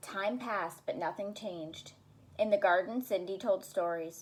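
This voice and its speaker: A woman talks at a moderate pace in a medium pitch. Hers is an unremarkable speaking voice. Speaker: special education intervention specialist. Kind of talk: children's story reading.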